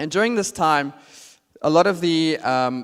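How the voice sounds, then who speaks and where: A man talks at a fairly high pitch. The recording is very clean, with a silent background. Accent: South African. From South Africa. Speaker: marketing strategist, conference speaker. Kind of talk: conference talk. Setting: stage with audience. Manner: hesitant, many fillers.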